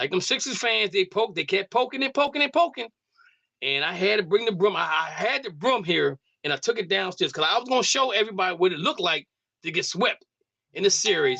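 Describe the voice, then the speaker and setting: A raised, projected voice with a bright, sharp tone races along very fast through very wide pitch swings, the sound dry and close with no echo. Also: man. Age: 60s. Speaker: sports radio host. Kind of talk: casual sports talk.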